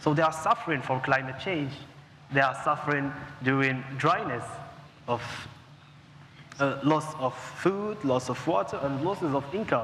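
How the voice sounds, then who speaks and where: Noticeable background noise sits behind a man with a fairly high pitch and ordinary pitch variation. He keeps a moderate pace, broken by long, frequent pauses. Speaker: young economist. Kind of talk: panel discussion. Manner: formal.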